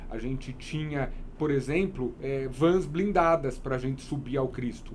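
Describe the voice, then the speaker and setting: A man speaks in an unremarkable speaking voice at a fairly high pitch. His pace is fairly slow, with ordinary pitch variation. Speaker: wedding photographer. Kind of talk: interview.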